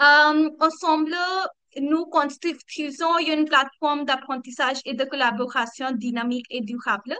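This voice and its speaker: A woman speaks at a very slow pace with a non-native accent, her pitch high. Her voice is raised and projected, bright and sharp in tone, with ordinary pitch variation. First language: not French (speaking French). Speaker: community coordinator. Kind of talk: online community meeting presentation. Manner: halting, many hesitations.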